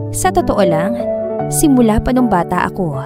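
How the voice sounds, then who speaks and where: A woman talks at a medium speed. There is music behind her. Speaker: story narrator. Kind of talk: narrated romance drama story.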